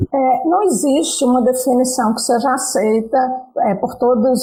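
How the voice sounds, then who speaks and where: Music plays in the background as a woman with a high pitch speaks at a moderate pace. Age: 60s. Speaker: computer science professor. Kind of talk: interview. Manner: hesitant, many filler sounds.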